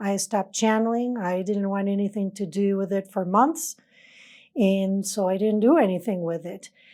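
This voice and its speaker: Heard on a very clean recording with a silent background, a woman with a non-native accent speaks at medium pitch with ordinary pitch variation. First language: not English. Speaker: spiritual channeler. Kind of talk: personal testimony.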